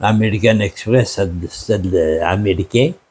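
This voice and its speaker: A man with a somewhat breathy, dark, mellow tone and lively intonation, in a very clean recording over a silent background. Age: 80s+. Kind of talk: interview answer.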